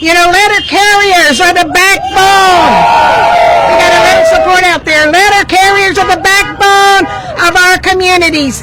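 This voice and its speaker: Noticeable background noise and audible room echo surround a woman whose extremely high voice keeps fairly even intonation. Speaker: labor union representative. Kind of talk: rally speech. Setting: outdoor union rally with crowd, handheld mic. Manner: loud.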